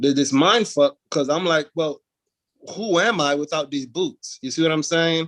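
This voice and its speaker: A man with a plain, everyday voice and an American accent talks at a moderate pace, his fairly high pitch showing ordinary pitch variation, in a dry, close sound with no echo. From US Virgin Islands. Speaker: military veteran and motorcycle club founder. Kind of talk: casual chat.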